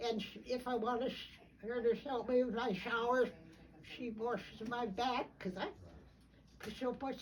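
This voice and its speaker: The speaker goes at a fairly slow pace with fairly even intonation and long, frequent pauses. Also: woman. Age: 90s. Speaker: retired nurse being honored. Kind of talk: casual chat. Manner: halting.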